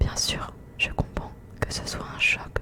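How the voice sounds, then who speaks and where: Noticeable background noise fills the clip. A woman whispers through it. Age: 20s. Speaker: ASMR creator. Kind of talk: whispered novel reading. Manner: whispered.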